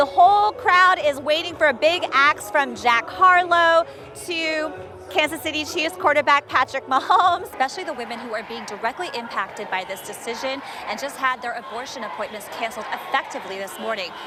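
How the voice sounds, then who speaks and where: A woman's raised, projected voice in an American accent, high in pitch with very wide pitch swings and big swings in loudness, at a fairly quick pace over music in the background. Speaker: TV news anchor and reporter. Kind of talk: news montage and studio anchor reads.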